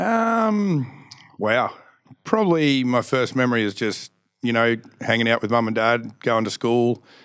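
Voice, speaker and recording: A man in an Australian accent speaks at a medium pitch and a fairly slow pace, in a very clean recording with a silent background. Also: ordinary pitch variation. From Australia, Canberra. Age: 40s. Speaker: stunt show performer. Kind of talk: casual interview chat.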